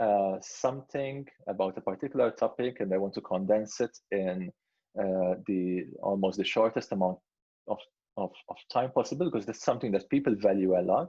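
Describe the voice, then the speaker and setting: A man with a non-native accent and a dark, mellow tone talks at a moderate pace. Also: fairly low pitch for a man, ordinary pitch variation. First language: not English. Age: 30s. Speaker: product head and creator. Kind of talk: Q&A interview. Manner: halting, many fillers and repetitions.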